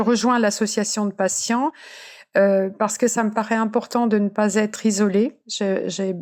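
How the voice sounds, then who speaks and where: In a very clean recording with a silent background, a woman speaks at a moderate pace with a fairly high pitch and monotone, flat intonation. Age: 70s. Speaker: cancer survivor and patient advocate. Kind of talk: personal testimony. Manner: halting, many repetitions and fillers.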